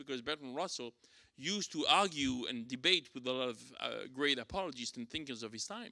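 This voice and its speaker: With a French accent, a man talks at a fairly quick pace in a bright, sharp tone with lively intonation. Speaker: church teacher. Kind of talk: lecture. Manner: halting, many fillers.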